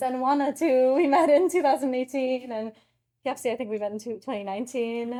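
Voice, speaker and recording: A woman with a dark, mellow tone and ordinary pitch variation is heard on a very clean recording with a silent background. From Turkey. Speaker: anthropology PhD student. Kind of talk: panel discussion.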